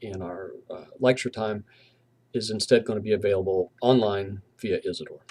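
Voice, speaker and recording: A slight Southern US accent at a moderate pace, with fairly even intonation. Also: man. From US South, southwestern Virginia (Abingdon). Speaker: university professor. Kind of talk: lecture. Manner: casual, with fillers.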